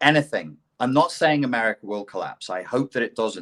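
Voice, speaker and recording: This speaker, with a British accent, talks at a moderate pace with vocal fry and very wide pitch swings. The sound is dry and close, with no echo. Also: man. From England. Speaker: CPTSD expert, ex-life coach. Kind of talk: casual podcast conversation. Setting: live online podcast.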